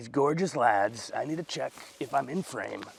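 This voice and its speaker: There is noticeable background noise behind a man speaking at a medium pitch. His intonation is lively and his pace fairly slow. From USA. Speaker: comedian. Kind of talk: casual storytelling monologue. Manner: animated.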